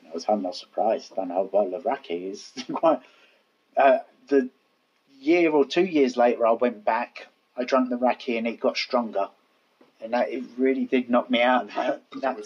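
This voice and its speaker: Speaking with a Cockney accent at a medium pitch, a man keeps a moderate pace, with big swings in loudness and long, frequent pauses. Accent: Cockney, London. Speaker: podcast co-host. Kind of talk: casual, conversational storytelling.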